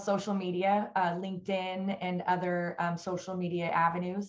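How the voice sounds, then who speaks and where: The background stays quiet. A woman talks at a fairly slow pace. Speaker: remote guest. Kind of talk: interview answer. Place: office. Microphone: video call.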